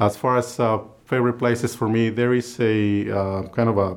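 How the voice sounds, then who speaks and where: In a Spanish accent, a man talks at medium pitch and a moderate pace. His intonation is monotone and flat. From Guadalajara, Mexico. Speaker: state legislator. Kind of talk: interview monologue.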